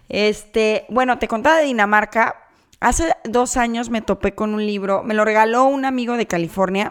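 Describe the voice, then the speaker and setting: On a very clean recording with a silent background, a woman with an ordinary speaking voice talks at a moderate pace, with fairly high pitch and ordinary pitch variation. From Mexico, Guadalajara. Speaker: podcast co-host. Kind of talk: casual chat.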